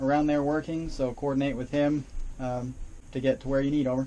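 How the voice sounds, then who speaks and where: In a relaxed tone, a man talks with monotone, flat intonation and a dark, mellow tone. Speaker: model railroad dispatcher. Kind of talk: mock railroad radio dispatch, clipped call-and-response with 'over' and 'dispatcher out'. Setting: hobby layout room during an operating session. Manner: brisk, procedural radio cadence with frequent filler 'uh' hesitations; relaxed, friendly and easygoing, occasionally laughing. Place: home room. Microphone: camera far.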